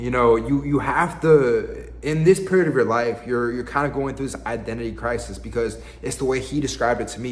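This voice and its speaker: A man's fairly quick speech in an American accent, with audible room echo and noticeable background noise. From US South, Virginia. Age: 20s. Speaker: lifestyle vlogger. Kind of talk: casual vlog monologue. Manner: casual, halting with repetitions.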